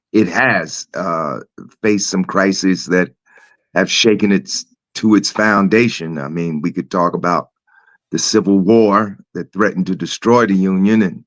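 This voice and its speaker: In an American accent, a man with a very deep, low voice talks at a fairly slow pace with ordinary pitch variation. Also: dry, close sound with no echo. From Newark, New Jersey. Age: 70s. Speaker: community activist. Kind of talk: interview.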